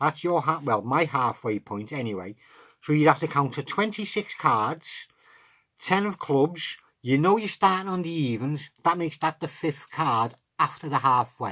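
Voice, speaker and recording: Someone speaks with an English accent on a very clean recording with a silent background. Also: moderate pace. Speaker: card magic tutor. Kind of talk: tutorial.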